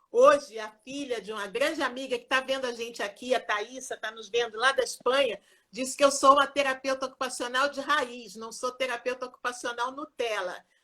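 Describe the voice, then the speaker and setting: A woman with a high pitch projects a raised voice in a bright, sharp tone, her intonation fairly even while her loudness swings widely. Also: moderate pace, hardly any pauses. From Rio de Janeiro, Brazil. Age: 60s. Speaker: occupational therapy professor. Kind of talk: live interview. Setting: Instagram live video.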